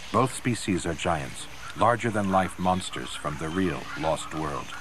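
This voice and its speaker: Lively intonation and a dramatic tone carry the speech at a moderate pace against noticeable background noise. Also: man. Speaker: documentary narrator. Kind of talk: nature documentary narration, scripted voice-over. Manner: dramatic, measured, ominous and gravely authoritative; steady, polished, formal.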